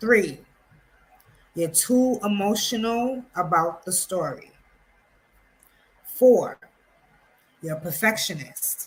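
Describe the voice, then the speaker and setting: Speaking in an American accent, a woman uses a medium pitch, lively intonation and a somewhat breathy voice. Her pace is very slow, with long, frequent pauses and big swings in loudness. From New York City (Harlem). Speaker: publishing coach. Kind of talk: tutorial.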